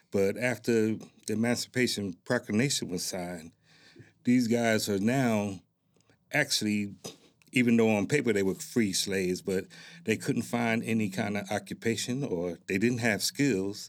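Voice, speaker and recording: An ordinary speaking voice from a man with an American accent, fairly low pitch, ordinary pitch variation and a moderate pace, on a very clean recording with a silent background. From Newark, New Jersey. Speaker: military veteran, community organization president. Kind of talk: interview. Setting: studio.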